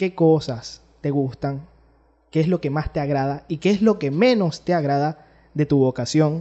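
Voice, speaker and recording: A man in a Venezuelan accent, fairly high-pitched, at a fairly slow pace with ordinary pitch variation. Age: 20s. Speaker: podcast host. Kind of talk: casual interview chat.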